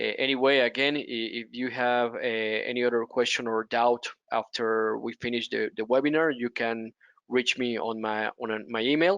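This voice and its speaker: The sound is dry and close with no echo as a man talks at a moderate pace, with a medium pitch and fairly even intonation. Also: quiet background. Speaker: business development manager presenting products. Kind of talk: webinar Q&A. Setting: online webinar. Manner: halting, many fillers and repetitions.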